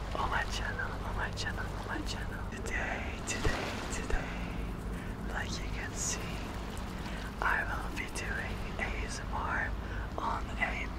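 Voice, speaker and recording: Long, frequent pauses break up a man's fairly slow speech under loud background noise. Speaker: ASMR creator. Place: boat. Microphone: studio mic.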